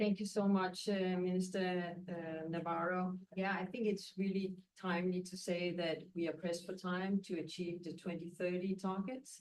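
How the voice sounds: A woman with a fairly low pitch, a slightly mellow tone and little pitch movement, at a moderate pace with few pauses, with audible room echo.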